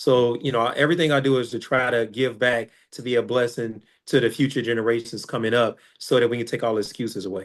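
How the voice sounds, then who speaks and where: The speaker talks at a very fast pace with an American accent and fairly even intonation. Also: man, medium pitch for a man. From Chicago, US. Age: 40s. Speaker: filmmaker and author. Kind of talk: interview.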